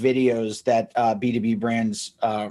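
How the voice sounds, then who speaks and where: An ordinary speaking voice with an American accent moves at a fairly slow pace, its intonation fairly even. The background is quiet. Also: man. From New Jersey, US. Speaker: agency founder. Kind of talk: interview podcast.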